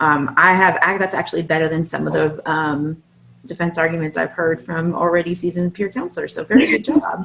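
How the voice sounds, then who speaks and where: Over noticeable background noise, a woman speaks with a fairly low pitch and ordinary pitch variation. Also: fairly quick pace. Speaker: course instructor. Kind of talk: class feedback. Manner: fast.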